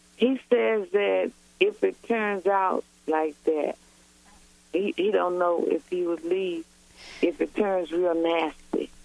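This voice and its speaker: Her voice sits fairly low in pitch with ordinary variation. The woman talks at a very slow pace with long, frequent pauses. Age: 60s. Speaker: caller. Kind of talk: call-in advice conversation. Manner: halting.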